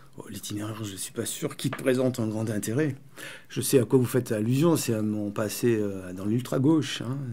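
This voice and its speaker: Loudness swings widely as a man speaks at a moderate pace and medium pitch, with ordinary pitch variation. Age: 60s. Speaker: poet and writer, former far-left activist. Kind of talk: radio interview. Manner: halting, searching for words.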